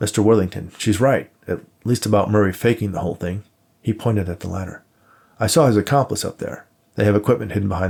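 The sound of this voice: The clip is an unforced reading voice.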